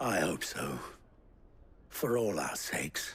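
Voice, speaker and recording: In a put-on character voice, a man speaks fairly slowly with a raspy, fairly low pitch and a stern tone. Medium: video game. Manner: stern, measured.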